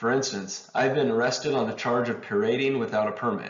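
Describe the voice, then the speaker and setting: His intonation is lively. The man talks at a very fast pace. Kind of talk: reading of a historic letter. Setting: home recording, poor audio. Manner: amateur reading.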